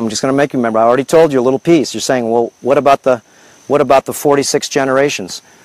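A man talks at a very fast pace, the sound dry with no echo over a quiet background. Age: 50s. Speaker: health and lifestyle video host; lifestyle video host. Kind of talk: casual livestream monologue. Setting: outdoors on a farm. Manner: animated. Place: farm. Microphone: lapel.

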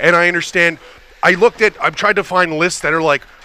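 This man's voice has a high pitch. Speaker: sports play-by-play broadcaster and podcast host. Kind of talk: casual interview. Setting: studio.

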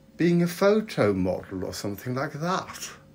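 The man's voice is somewhat breathy. Very wide swings mark his pitch. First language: Swedish. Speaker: vlogger. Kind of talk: casual vlog. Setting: video call.

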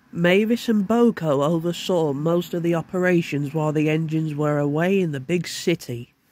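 At a moderate pace, a plain, everyday voice talks with ordinary pitch variation and hardly any pauses. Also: man, fairly high pitch for a man. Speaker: narrator. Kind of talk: read story narration.

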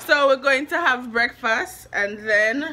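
A woman speaks with a strong Jamaican accent over light background noise. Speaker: vlogger. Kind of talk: casual vlog talk to camera. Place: home room. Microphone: phone near.

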